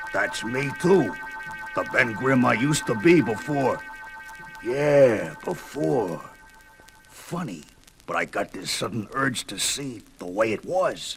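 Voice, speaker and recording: Gruff, put-on character voice from a man in an American accent, medium pitch and fairly slow pace, with clear music in the background. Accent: streetwise American, says ain't. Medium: audio drama. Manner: gruff, slangy street talk.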